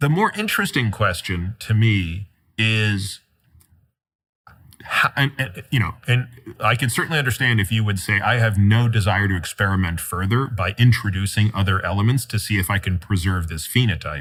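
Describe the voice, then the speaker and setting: The man speaks at a moderate pace and fairly low pitch. He has an ordinary speaking voice with ordinary pitch variation. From Toronto, Canada. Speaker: physician and author. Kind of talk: interview conversation.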